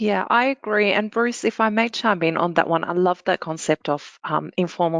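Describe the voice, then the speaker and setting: A woman with an Australian accent and ordinary pitch variation, in a dry, close sound with no echo against a quiet background. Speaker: security analyst. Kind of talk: panel Q&A answer.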